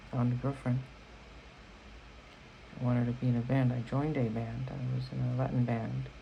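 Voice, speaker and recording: A man talks at a fairly quick pace with long, frequent pauses over noticeable background noise. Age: 20s. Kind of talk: casual talk to camera. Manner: rambling.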